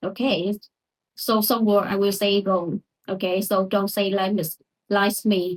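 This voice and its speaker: A woman with a non-native accent speaks at a medium pitch and a fairly slow pace, in a monotone, flat intonation. Her loudness stays very even, and the sound is dry and close with no echo. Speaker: English learner. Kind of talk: pronunciation lesson to camera.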